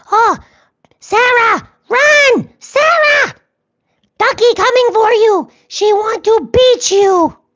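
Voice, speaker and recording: A put-on character voice at an extremely high pitch, delivered at a very slow pace. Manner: menacing, dramatic.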